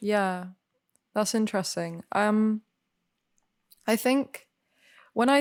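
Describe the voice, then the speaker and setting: On a very clean recording with a silent background, a woman speaks at a very slow pace. She has an English accent and ordinary pitch variation. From Spain. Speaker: actor. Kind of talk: casual chat.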